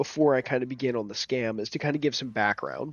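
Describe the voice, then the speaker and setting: Quiet and at a fairly quick pace, a man speaks. His medium pitch shows ordinary variation. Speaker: gaming YouTuber and IT security worker. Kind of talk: casual vlog commentary. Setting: at home late at night. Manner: quiet, keeping voice down; halting with fillers.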